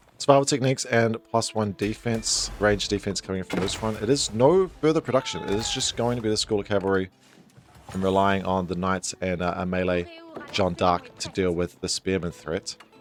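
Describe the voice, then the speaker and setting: With noticeable background noise behind him, a man talks at a fairly quick pace in a fairly low voice with ordinary pitch variation. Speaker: esports caster. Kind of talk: live game commentary.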